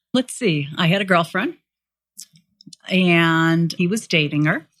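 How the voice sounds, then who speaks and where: Her loudness very even, a woman with an ordinary speaking voice talks at a fairly slow pace in a fairly low pitch. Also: ordinary pitch variation. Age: 60s. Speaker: married guest. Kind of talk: casual interview chat. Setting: home.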